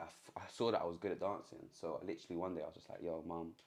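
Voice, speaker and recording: At a very fast pace, a man delivers his words. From London. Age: 20s. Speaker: musician and former dancer. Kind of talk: casual interview. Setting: recording studio. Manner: chatty, fast.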